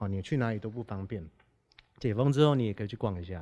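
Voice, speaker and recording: A man with a fairly low pitch and ordinary pitch variation, on a very clean recording with a silent background. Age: 30s. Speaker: band musician. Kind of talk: casual chat. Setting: recording near an air base.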